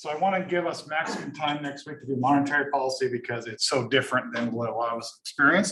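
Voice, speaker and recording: A man's fairly high voice at a very fast pace, with lively intonation. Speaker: economics lecturer. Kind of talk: lecture. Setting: classroom with Zoom attendees.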